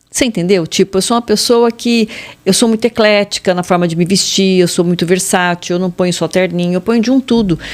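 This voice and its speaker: At a moderate pace, a woman with an ordinary speaking voice talks at medium pitch with lively intonation. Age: 60s. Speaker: fashion consultant. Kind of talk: interview.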